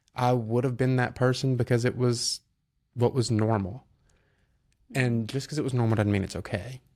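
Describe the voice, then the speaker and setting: On a very clean recording with a silent background, a man with a Southern US accent talks at a moderate pace in a medium pitch, his intonation monotone and flat, with long, frequent pauses. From US South, North Alabama (Decatur). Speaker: entrepreneur, car flipper. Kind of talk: podcast interview. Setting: studio.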